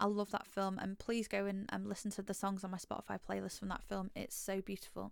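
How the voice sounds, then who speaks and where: A woman with an English accent speaks fairly quickly at medium pitch in a monotone, flat intonation. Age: 30s. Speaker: podcast host. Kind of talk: solo monologue.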